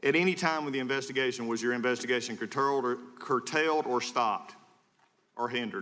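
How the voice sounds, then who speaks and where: A man's bright, sharp voice at a very fast pace, with fairly even intonation. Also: medium pitch for a man. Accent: American. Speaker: congressman. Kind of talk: congressional hearing questioning. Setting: hearing room.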